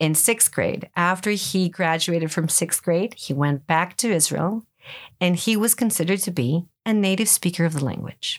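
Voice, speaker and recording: A woman with a Greek accent speaks at a moderate pace and medium pitch, with ordinary pitch variation and very even loudness, in a very clean recording with a silent background. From Greece, Ioannina (northwest). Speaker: English as a second language teacher. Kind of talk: interview.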